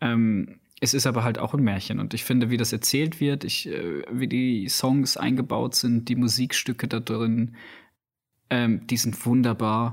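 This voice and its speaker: Using an ordinary speaking voice at a medium pitch, this man keeps his intonation fairly even and his pace fairly slow. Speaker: podcast host, film reviewer. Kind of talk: casual chat.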